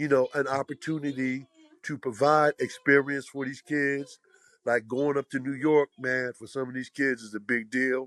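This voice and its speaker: At a moderate pace, the speech comes out monotone and flat, in a dry, close sound with no echo. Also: man, medium pitch for a man. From Philadelphia, North Philly. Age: 70s. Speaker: former pro basketball player and youth basketball organizer. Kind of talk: casual interview conversation.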